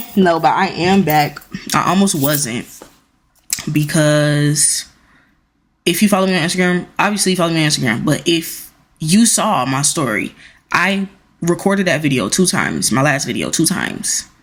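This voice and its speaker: Long pauses come often while the talking proceeds at a moderate speed. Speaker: vlogger. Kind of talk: casual chat.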